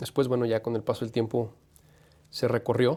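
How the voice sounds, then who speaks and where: The very clean recording has a silent background. A man speaks at a medium pitch in a dark, mellow tone. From Mexico, San Luis Potosí. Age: 40s. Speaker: sports journalist and radio host. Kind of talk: interview.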